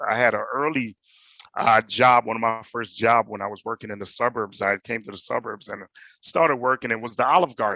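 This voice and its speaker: At a fairly quick pace, a man speaks with a bright, sharp tone and ordinary pitch variation in a dry, close sound with no echo and a quiet background. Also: medium pitch for a man. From Jamaica. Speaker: panelist, hospitality manager. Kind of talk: personal testimony on panel.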